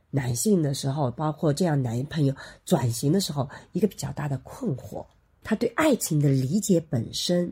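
A somewhat breathy, dark, mellow voice with lively intonation at a moderate pace, in a very clean recording with a silent background. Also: woman. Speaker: sociology professor and podcast co-host. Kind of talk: casual chat. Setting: studio with microphones. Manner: varying loudness, moves around the mic.

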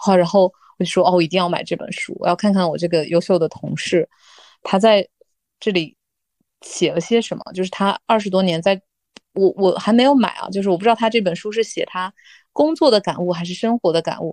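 A woman talks at a fairly quick pace in a medium pitch, with ordinary pitch variation over a quiet background. She has an unremarkable speaking voice. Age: 30s. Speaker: office worker. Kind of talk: casual chat.

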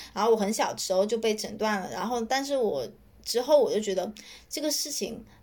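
At a fairly quick pace, a woman talks in a fairly high, ordinary speaking voice. Her pitch varies in an ordinary way. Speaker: author and growth marketer. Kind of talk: interview.

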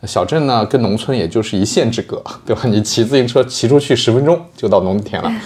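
The speech moves at a fairly quick pace with ordinary pitch variation, and noticeable background noise sits behind it. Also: man, medium pitch for a man. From southern Jiangsu countryside. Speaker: podcast host. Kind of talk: casual chat. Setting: studio. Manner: animated.

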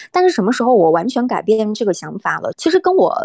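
Here a woman talks at a fairly quick pace. Her pitch swings very widely. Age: 20s. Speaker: travel blogger, former radio host. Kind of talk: casual chat.

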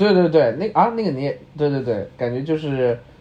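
A man speaks with a slight Changsha accent. His fairly high voice swings very widely in pitch. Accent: Mandarin with slight Changsha tinge. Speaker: podcast co-host. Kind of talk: casual chat.

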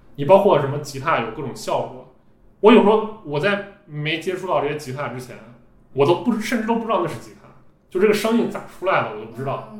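This man talks at a very fast pace in a high voice with very wide pitch swings, and audible room echo surrounds him. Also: big swings in loudness. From Xi'an, Shaanxi, China. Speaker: podcaster and IT engineer. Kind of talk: casual interview chat. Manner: hesitant, many fillers and repetitions.

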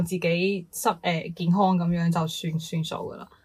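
A woman at a medium pitch and moderate pace, with noticeable background noise. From Guangdong, China. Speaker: podcast co-host. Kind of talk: casual chat.

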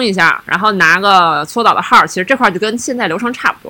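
A woman's fairly high, bright, sharp voice at a fairly quick pace, with ordinary pitch variation. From Heilongjiang, Northeast China. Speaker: podcast co-host. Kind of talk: casual chat.

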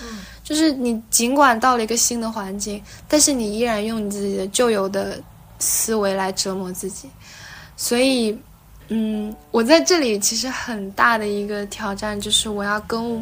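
At a moderate pace, a woman speaks in a fairly high pitch with ordinary pitch variation and big swings in loudness, with audible room echo. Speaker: doctor turned working holiday backpacker. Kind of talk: casual interview chat.

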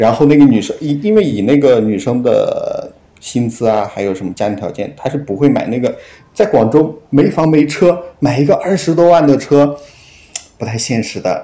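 The intonation is lively. It belongs to a man with a fairly high voice. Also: moderate pace. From Henan, China. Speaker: podcast guest sharing a story. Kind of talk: casual storytelling chat. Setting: remote call. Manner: halting, many fillers.

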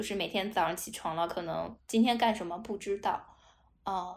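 A woman speaks at a medium pitch and a fairly quick pace. Hers is an unremarkable speaking voice with ordinary pitch variation. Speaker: state-owned company office worker. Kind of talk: casual chat.

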